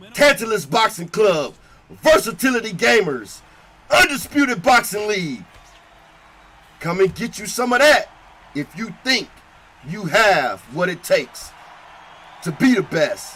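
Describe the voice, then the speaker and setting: A man with a high pitch uses a raised, projected voice, his pitch swinging very widely. He speaks at a fairly slow pace with long, frequent pauses over noticeable background noise. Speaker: boxing commentator. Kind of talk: live commentary. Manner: animated.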